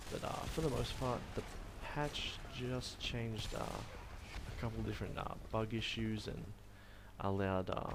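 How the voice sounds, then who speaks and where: Unhurried and fairly slow, this man talks with an Australian accent. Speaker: university student. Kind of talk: gameplay commentary. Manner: casual, hesitant.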